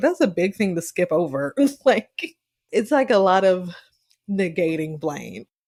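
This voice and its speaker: A woman talks with a Southern US accent. Her pitch sits in the medium range. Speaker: podcast co-host. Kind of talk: casual chat. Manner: casual, filler-heavy speech.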